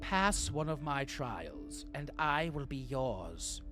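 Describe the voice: Very slowly, a raspy, put-on character voice speaks over loud music in the background.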